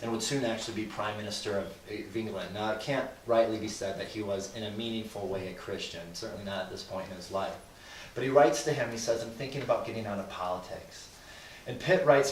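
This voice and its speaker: Talking at a very fast pace, a man shows ordinary pitch variation and big swings in loudness, with noticeable background noise and audible room echo. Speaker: guest speaker on Christians and government. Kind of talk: lecture to a live group.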